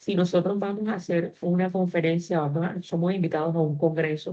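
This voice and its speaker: A woman speaks at a moderate pace in a fairly low pitch, her intonation flat and monotone. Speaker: university teacher. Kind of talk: online class lecture.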